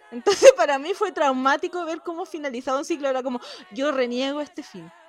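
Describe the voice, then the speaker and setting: Music plays in the background as the speaker talks with a Chilean accent. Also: woman. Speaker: podcast co-host. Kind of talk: casual chat.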